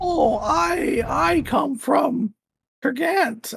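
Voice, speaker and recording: This is a put-on character voice with a high pitch. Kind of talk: put-on old lady voice. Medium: actual play. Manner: hesitant, stammering, sweet.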